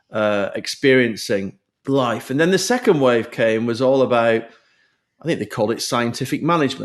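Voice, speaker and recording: A man with a British accent, recorded very cleanly against a silent background. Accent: British accent, kept. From UK. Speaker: HR executive and business founder. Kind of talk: podcast interview.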